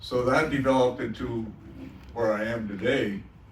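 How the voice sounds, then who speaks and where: Audible room echo surrounds a man speaking at a moderate pace. His pitch sits in the medium range with ordinary variation. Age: 70s. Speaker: artist. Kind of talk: panel discussion.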